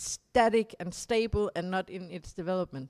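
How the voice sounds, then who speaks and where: A woman with a Danish accent at a moderate pace, ordinary pitch variation, on a very clean recording with a silent background. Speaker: political activist speaker. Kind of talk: conference talk summing up discussion. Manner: halting, with repetitions and self-corrections.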